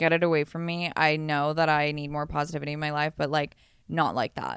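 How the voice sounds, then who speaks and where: At a fairly quick pace, a woman with a Southern Californian accent speaks in a very deep, low voice on a very clean recording with a silent background. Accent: Valley Girl. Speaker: podcast co-host. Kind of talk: casual chat. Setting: hotel room.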